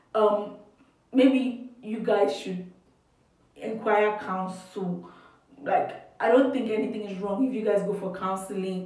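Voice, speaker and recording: Medium-pitched woman's voice at a very slow pace, with ordinary pitch variation, long, frequent pauses, big swings in loudness and audible room echo. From Nigeria. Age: 20s. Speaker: youtuber. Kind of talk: casual advice chat.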